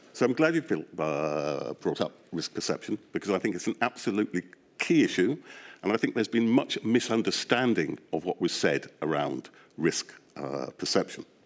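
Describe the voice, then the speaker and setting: Very wide pitch swings in a British accent. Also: man, fairly low pitch for a man, moderate pace. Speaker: behavioural scientist, inquiry witness. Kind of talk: testimony.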